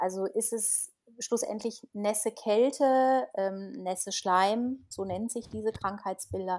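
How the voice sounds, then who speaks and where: A woman speaks slowly-ish in a normal speaking voice, her fairly high pitch held in a fairly even intonation. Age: 40s. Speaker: naturopath. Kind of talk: casual interview.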